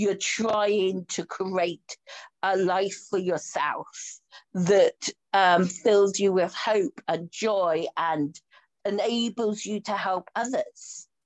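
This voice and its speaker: A woman with a Yorkshire accent speaks at a very slow pace and medium pitch, her intonation fairly even, in a dry, close sound with no echo. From Yorkshire, northern England. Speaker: podcast host and coach. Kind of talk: casual interview chat. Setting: video call.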